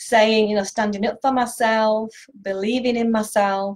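A woman speaks in a fairly high, somewhat breathy voice. The background is quiet. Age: 50s. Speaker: nutritional therapist and video blogger; health vlogger. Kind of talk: direct-to-camera talk. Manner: hesitant, many fillers. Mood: warm, encouraging. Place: home room. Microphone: webcam.

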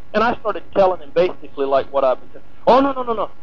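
A man's pitch rises and falls very widely as noticeable background noise goes on. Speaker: former tabloid reporter. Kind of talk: archival interview. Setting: phone call.

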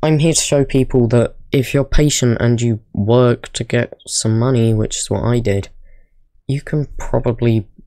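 A quiet voice moves at a fairly slow pace on a very clean recording with a silent background. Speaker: small YouTuber. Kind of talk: casual talk to camera. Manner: quiet, low volume.

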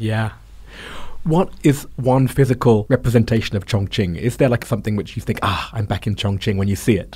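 A man with a southern English accent talks at a fairly quick pace, with ordinary pitch variation. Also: medium pitch for a man. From London, England. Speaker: podcast host. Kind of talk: interview.

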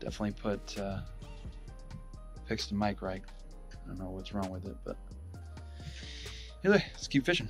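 A man talks at a fairly quick pace with big swings in loudness, in a dry sound with no echo and clear music in the background. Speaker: fishing vlogger. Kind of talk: casual vlog chat. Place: waterside. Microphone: phone near.

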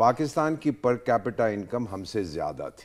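Very wide swings in pitch from a male speaker, delivered fairly slowly. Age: 70s. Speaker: former ambassador; guest. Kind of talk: panel discussion. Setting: studio. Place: studio. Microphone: lapel.

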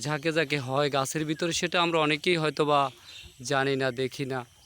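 Here a man speaks at a fairly high pitch, his intonation monotone and flat. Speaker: video blogger. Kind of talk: vlog narration.

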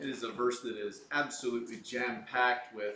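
Over light background noise and with audible room echo, a man talks at a moderate pace. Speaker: pastor. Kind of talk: sermon. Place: empty room.

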